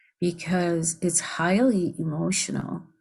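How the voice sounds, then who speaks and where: A woman with an American accent, fairly low-pitched, somewhat breathy, with a dark, mellow tone, fairly even intonation and a very slow pace against a quiet background. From US Pacific Northwest, Bainbridge Island, Washington. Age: 70s. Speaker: filmmaker. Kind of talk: panel Q&A. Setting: video call.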